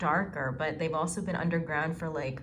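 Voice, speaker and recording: A woman talks at a moderate pace with ordinary pitch variation. Noticeable background noise runs underneath. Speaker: tarantula keeper and video creator; video creator. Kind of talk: tutorial. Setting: home kitchen. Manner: higher pitched and energetic. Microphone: phone near.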